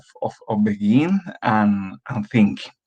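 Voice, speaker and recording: A man with a Spanish accent at a very slow pace, showing ordinary pitch variation. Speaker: doctoral candidate. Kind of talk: conference presentation. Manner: halting.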